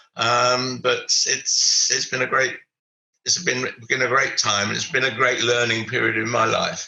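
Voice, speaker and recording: A man with an English accent talks at a fairly slow pace, his loudness very even throughout. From England. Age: 80s+. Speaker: retired business mentor. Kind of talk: interview. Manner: halting.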